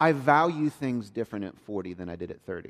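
Speaking at a medium pitch, a man talks with a Southern US accent. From US South, South Georgia. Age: 40s. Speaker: pastor. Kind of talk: sermon. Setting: church.

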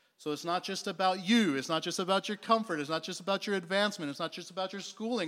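In a very clean recording with a silent background, a man speaks at a high pitch with ordinary pitch variation and an animated, warm tone. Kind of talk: sermon. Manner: animated, warm and conversational, like a pastor preaching to a live congregation; emphatic, repeating key points for effect.

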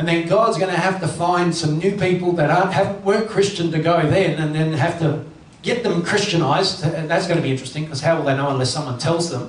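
Rushing at a very fast pace with hardly any pauses, a man speaks in a high voice with ordinary pitch variation over noticeable background noise. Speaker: pastor. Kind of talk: sermon. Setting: church.

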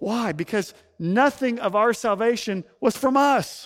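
A man speaks with an Arkansas accent and a lively, bouncing intonation. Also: very clean recording, silent background. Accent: Southern US (Arkansas). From US South, Ozark Mountains of Northwest Arkansas. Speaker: pastor. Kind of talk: sermon. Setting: church.

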